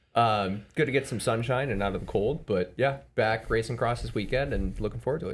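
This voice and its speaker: A man's medium-pitched voice with vocal fry, at a fairly quick pace, with ordinary pitch variation. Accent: American. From Chicago area, Evanston. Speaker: amateur bike racer. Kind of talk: casual podcast chat. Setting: studio podcast on camera.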